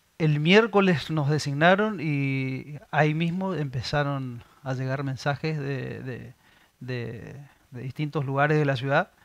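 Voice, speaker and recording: The dry recording, free of echo, has a man speaking fairly slowly at a fairly high pitch with ordinary pitch variation. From Argentina, Resistencia (Chaco); Chaco, Argentina. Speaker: municipal ombudsman; public interviewee. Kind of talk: interview. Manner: halting, many fillers. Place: studio. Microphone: headset.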